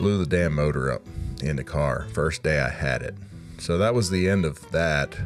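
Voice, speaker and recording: A man with an American accent over music in the background. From Omaha, Nebraska. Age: 30s. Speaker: stand-up comedian. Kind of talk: comedic rant to camera. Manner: casual, rambling.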